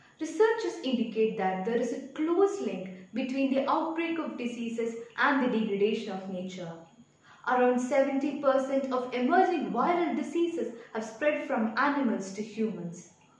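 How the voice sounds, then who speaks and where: A woman's high, lively voice at a moderate pace with audible room echo. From Kerala, India. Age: young. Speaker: student. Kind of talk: prepared speech for a competition. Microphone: phone near.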